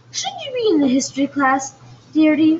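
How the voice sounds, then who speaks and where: Putting on a squeaky character voice, a woman speaks at a high pitch and a moderate pace. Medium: read story. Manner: brisk.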